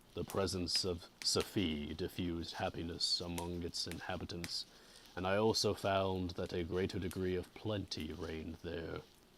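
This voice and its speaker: In a put-on character voice, a man speaks at a fairly slow pace with a very deep, low pitch and a guttural sound. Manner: sleepy, monotone.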